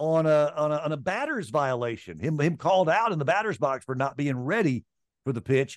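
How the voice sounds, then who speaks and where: Fairly high for a man, his voice moves at a fairly quick pace with lively intonation. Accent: Southern US. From Mississippi, US South. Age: 60s. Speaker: sports radio host. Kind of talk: casual chat.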